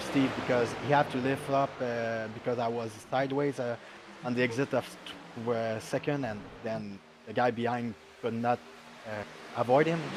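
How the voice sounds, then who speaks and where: Amid noticeable background noise, a man with a French accent speaks at a moderate pace, medium in pitch, with fairly even intonation. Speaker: sim racing driver. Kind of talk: post-race interview. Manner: halting.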